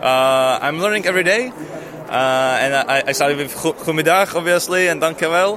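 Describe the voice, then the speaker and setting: A Czech accent with ordinary pitch variation, over noticeable background noise. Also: man. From Czech Republic. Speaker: expat interviewee. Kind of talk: street interview. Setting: at a fair.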